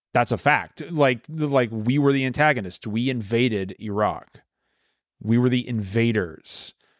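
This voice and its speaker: A man with an American accent talks at a fairly slow pace, his pitch medium and its variation ordinary, in an unremarkable speaking voice. The recording is very clean, with a silent background. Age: 40s. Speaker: war veteran. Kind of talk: casual chat.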